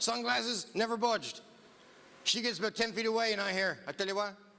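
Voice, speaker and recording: In a raised, projected voice, a man with a Newfoundland accent and an extremely high pitch talks at a fairly quick pace. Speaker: comedian. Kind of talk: stand-up. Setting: stage with audience. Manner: animated.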